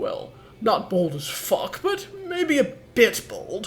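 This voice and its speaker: Using a put-on character voice at an extremely high pitch, a man talks at a very slow pace with clear background noise. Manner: booming, dry.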